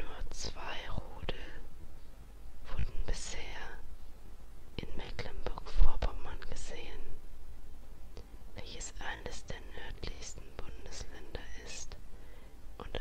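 Whispering at a very slow pace with long, frequent pauses, a woman's loudness swings widely over noticeable background noise. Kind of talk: ASMR fact narration. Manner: whispered.

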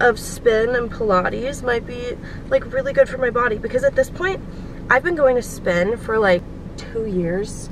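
Over noticeable background noise, a woman speaks at a fairly slow pace in a dry sound with no echo. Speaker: vlogger. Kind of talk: casual vlog chat. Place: car. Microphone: phone near.

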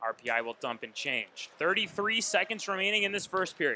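An excited, high-pitched male voice with a bright, sharp tone, dry sound with no echo and light background noise. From Vermont. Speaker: play-by-play announcer. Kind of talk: live sports commentary. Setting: broadcast booth at arena. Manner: fast, excited play-by-play delivery calling each shot and save as it happens. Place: stadium.

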